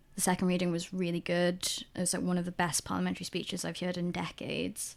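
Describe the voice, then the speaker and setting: With a Welsh accent, a woman talks at a very fast pace in a fairly low pitch and a monotone, flat intonation. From South Wales. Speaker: podcast co-host. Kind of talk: casual chat. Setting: recording away from usual studio, indoors.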